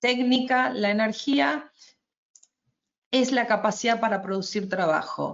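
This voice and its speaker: Her intonation is lively. The woman's pitch sits fairly high. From Argentina. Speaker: energy efficiency advisor, webinar presenter. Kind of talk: webinar presentation. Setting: online webinar. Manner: hesitant, with fillers and restarts.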